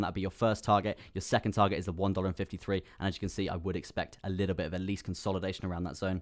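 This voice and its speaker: A man's fairly low voice with a British accent. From UK. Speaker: crypto trading streamer. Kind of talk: live stream chart analysis. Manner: fast; animated.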